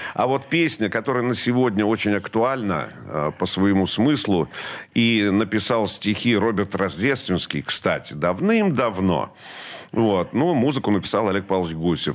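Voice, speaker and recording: A man with an ordinary speaking voice and a fairly low pitch, at a moderate pace, with lively intonation and very even loudness. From central Russia, Vladimir region. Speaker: rock musician and radio host. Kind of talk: interview.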